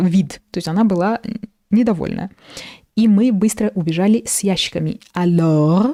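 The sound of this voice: Ordinary pitch variation runs through an unforced reading voice, set against a quiet background.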